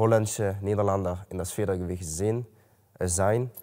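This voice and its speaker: With a Dutch accent, a man speaks at a fairly low pitch in a dark, mellow tone, his intonation fairly even against a quiet background. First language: Dutch (speaking German). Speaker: MMA fighter. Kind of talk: interview. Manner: halting. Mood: calm, matter-of-fact. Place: gym.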